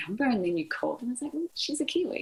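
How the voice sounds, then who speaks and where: A woman speaks with a New Zealand accent in a somewhat breathy voice. Her pitch swings very widely. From New Zealand, Hawke's Bay. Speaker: ICU nurse. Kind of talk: interview. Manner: animated.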